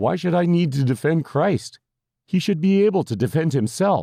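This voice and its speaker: In a put-on character voice, a man speaks at a moderate pace with lively intonation and a fairly high pitch, on a very clean recording with a silent background. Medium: read story. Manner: exasperated, skeptical.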